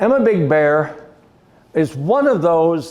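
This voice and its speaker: A man's high-pitched voice with an American accent, lively intonation and a very slow pace. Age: 70s. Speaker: local historian and priest. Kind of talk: lecture. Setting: gallery talk with audience. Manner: conversational, with fillers.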